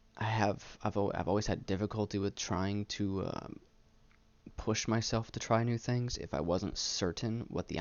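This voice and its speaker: A man speaks at a fairly slow pace with vocal fry. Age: 20s. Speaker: gaming commentary youtuber and military veteran. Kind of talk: personal vlog monologue. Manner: halting, repeating words.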